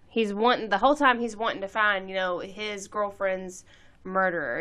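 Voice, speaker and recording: An ordinary speaking voice from a woman at a moderate pace. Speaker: podcast co-host. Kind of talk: casual chat. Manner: joking, playful.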